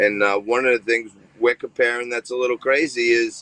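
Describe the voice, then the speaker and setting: A man talks at medium pitch and a moderate pace. He has a strong New York accent, and the sound is dry and close with no echo. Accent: thick New York. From New York, Staten Island. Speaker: TV host and finance commentator. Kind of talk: interview.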